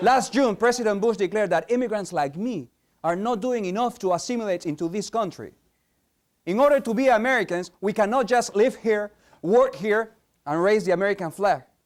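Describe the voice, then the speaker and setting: A man with a slight Spanish accent speaks at a fairly quick pace in a high voice, with ordinary pitch variation. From Peru. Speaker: competitive speaker. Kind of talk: competition speech.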